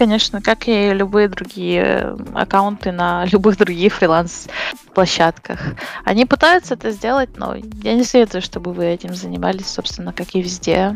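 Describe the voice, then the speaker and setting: With music in the background, this woman speaks at a moderate pace. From western Ukraine, near Uzhhorod. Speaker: commercial photo retoucher. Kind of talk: casual interview.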